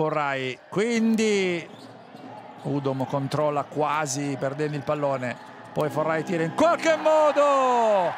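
A man speaks at a fairly slow pace with very wide pitch swings. Noticeable background noise runs beneath him. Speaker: basketball commentator. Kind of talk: live sports commentary, play-by-play over highlights. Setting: game broadcast. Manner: run-on sentences, names and actions tumbling out nonstop.

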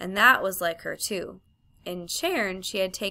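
The intonation is lively as the text is read in an unforced reading voice.

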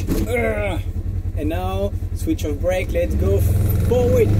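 Someone speaks at a very slow pace against loud background noise. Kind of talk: casual vlog chat. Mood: excited, laughing. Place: farm machine. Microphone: phone near.

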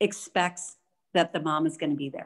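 There is a quiet background behind the woman talking. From United States. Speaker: diplomat; panelist. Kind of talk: panel discussion. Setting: video call. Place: home room. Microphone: video call.

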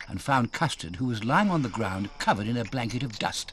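An unforced reading voice is heard here.

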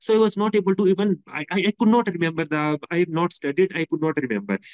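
Over a quiet background, a man with a high pitch talks at a very fast pace. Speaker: interviewee. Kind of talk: interview answer. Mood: earnest, explanatory. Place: home room. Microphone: video call.

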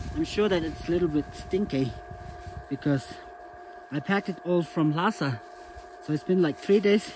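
Over light background noise, a man with a high pitch talks at a moderate pace with ordinary pitch variation and long, frequent pauses, the sound dry with no echo. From Tibet. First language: Tibetan. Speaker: travel vlogger. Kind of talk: vlog narration. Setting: outdoors. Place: open country. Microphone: phone near.

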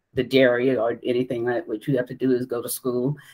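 A woman speaks in a very deep, low voice. The background is quiet. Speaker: remote interview guest. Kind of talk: interview answer. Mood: warm, reminiscing. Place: home room.

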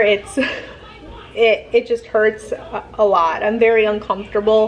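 A woman's voice sounds strained at a fairly slow pace. Light background noise can be heard. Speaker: vlogger. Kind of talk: casual vlog chat. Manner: strained, uncomfortable voice. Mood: uncomfortable, complaining. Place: home room. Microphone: phone near.

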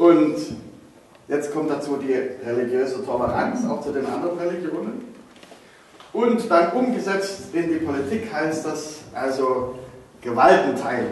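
A man speaks at a fairly slow pace with lively intonation and long, frequent pauses. Strong room echo and light background noise surround his voice. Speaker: presenter. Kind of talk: explanatory lecture. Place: hall. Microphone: camera far.

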